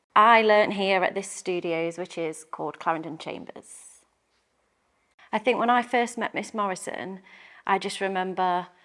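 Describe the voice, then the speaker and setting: A woman with an English accent and medium pitch speaks at a fairly slow pace with ordinary pitch variation and long, frequent pauses, in a very clean recording with a silent background. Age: 30s. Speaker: primary school and dance teacher. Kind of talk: interview recollection.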